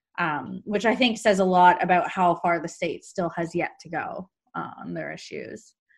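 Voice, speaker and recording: A woman's fairly low voice with vocal fry, lively intonation and big swings in loudness, at a moderate pace over a quiet background. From Canada. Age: 30s. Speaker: podcast host. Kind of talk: casual interview.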